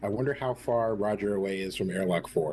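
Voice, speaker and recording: In a put-on character voice, a man mumbles quietly at a fairly quick pace and a fairly low pitch, with light background noise behind him. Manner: absentminded, mumbling to oneself.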